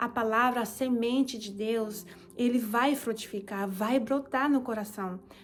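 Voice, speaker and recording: A woman speaks at a very slow pace with a fairly high pitch. Her voice is somewhat breathy, and her intonation stays fairly even. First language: Japanese (speaking Portuguese). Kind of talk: testimony.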